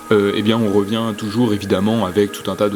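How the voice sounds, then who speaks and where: With music in the background, a man talks at a fairly quick pace in a fairly low pitch. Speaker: nature vlogger, snake enthusiast. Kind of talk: vlog narration. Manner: hesitant, many fillers.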